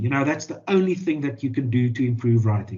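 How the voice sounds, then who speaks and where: A man with a South African accent talks with lively intonation and a somewhat breathy voice. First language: Afrikaans. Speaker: journalist and author. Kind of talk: interview. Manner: halting, many fillers and repeated words.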